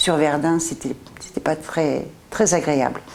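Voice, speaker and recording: Against noticeable background noise, a woman speaks in a very deep, low voice with fairly even intonation. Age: 70s. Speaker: future tenant. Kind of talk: interview.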